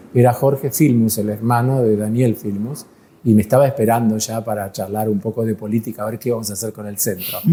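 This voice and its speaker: This man's voice has a dark, mellow tone and is somewhat breathy. He speaks fairly quickly. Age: 70s. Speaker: molecular biologist. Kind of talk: interview.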